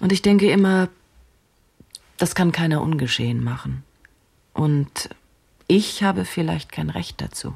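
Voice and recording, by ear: A woman puts on a character voice, low in pitch with a slightly mellow tone, a slightly husky edge and vocal fry. Her intonation is lively and her pace fairly slow.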